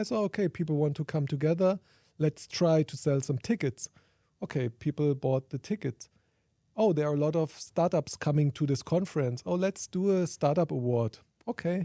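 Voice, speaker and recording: With a German accent and a dark, mellow tone, the speaker talks at a moderate pace with ordinary pitch variation in a very clean recording with a silent background. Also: man, fairly high pitch for a man. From Germany. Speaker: sustainability researcher and conference organiser. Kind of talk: interview. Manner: halting.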